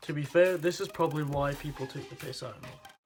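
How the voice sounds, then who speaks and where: Very fast speech from a man at a fairly high pitch, with music in the background. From Scotland, Highlands (Inverness). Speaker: vlogger. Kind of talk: casual vlog monologue.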